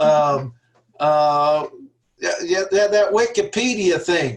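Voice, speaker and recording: With a slight Kentucky accent, a man speaks at a high pitch with lively intonation. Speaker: seminar tutor. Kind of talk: online seminar discussion. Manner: halting, many fillers.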